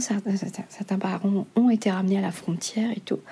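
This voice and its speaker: A woman at medium pitch over noticeable background noise. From Mauritius. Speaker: novelist. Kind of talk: interview. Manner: hesitant.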